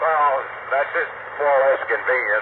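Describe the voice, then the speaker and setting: A man speaks at a fairly quick pace while noticeable background noise carries on behind him. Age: 60s. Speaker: trucker, ham radio operator. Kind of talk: ham radio contact. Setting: mobile radio from truck, via internet link.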